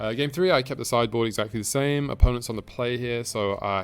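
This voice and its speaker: Music sounds in the background. Over it, a man speaks very fast with ordinary pitch variation. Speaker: gaming video creator. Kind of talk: gameplay commentary. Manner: hesitant with fillers.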